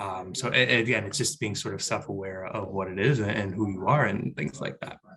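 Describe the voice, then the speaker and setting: A man talks at a fairly quick pace with an American accent. His pitch is fairly low, with ordinary variation. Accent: New York Bronx accent, varies in strength. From New York, the Bronx. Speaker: business school staff member, panelist. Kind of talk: panel discussion. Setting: video call. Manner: loud; halting, repeats words.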